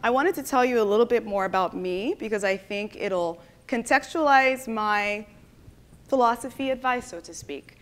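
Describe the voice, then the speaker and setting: A woman's fairly high voice, bright and sharp in tone, with lively intonation at a moderate pace on a very clean recording with a silent background. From Nigeria (Lagos). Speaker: conference speaker, tech and product professional. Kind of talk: conference talk. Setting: stage with audience. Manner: casual, many filler ums.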